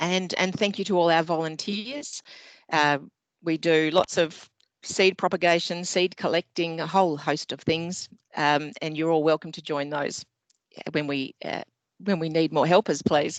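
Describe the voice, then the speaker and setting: The speaker has an Australian accent and a moderate pace, with fairly even intonation. The sound is dry and close with no echo, over a quiet background. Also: woman, fairly low pitch for a woman. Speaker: community group president. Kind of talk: speech of thanks. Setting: video call.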